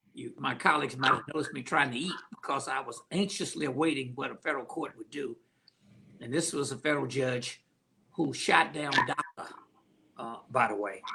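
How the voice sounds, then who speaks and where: A man talks with an unremarkable speaking voice at a fairly quick pace. His pitch is fairly high, with ordinary variation and big swings in loudness. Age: 60s. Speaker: county commissioner, politician. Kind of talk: panel discussion on voting. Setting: video call livestream.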